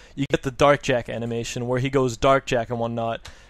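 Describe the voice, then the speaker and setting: A man speaks with a Danish accent. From Denmark. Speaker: video game speedrunner. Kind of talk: tutorial. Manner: fast; halting, many fillers.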